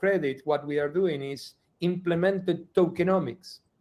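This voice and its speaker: A man's dark, mellow voice sits fairly high and moves along fairly slowly. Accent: non-native. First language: not English. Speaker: executive director of an environmental nonprofit. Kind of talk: interview. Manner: halting, with many repetitions.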